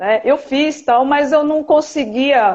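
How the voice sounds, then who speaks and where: Against a quiet background, a woman with high pitch speaks at a very slow pace. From Brazil, São Paulo. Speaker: dermatologist. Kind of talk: interview. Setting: video livestream.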